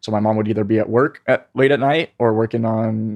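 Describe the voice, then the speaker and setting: A man's normal speaking voice at a medium pitch and fairly quick pace, with fairly even intonation, dry, close sound with no echo, and a quiet background. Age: 20s. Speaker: meme creator and marketer. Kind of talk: casual interview chat.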